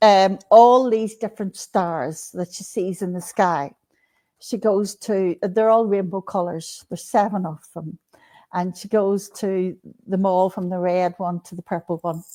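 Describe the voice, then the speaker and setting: A woman's medium-pitched, dark, mellow voice at a fairly slow pace, with fairly even intonation and big swings in loudness, dry, close sound with no echo and a very clean recording with a silent background. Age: 60s. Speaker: spiritual author. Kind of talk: casual chat.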